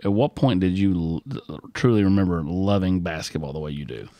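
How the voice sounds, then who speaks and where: A man with a very deep, low pitch and a dark, mellow tone speaks at a fairly quick pace in a dry, close sound with no echo. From Tennessee (Rogersville). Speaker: sports podcast host. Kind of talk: interview.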